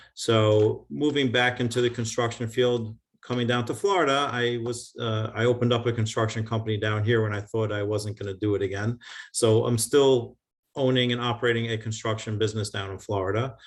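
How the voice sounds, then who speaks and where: Against a quiet background, a man with a New York accent talks at a fairly quick pace, his medium pitch held in fairly even intonation. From US Northeast, New York (Long Island). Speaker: construction contractor and real estate developer. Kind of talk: video call talk with Q&A. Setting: video call. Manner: fast.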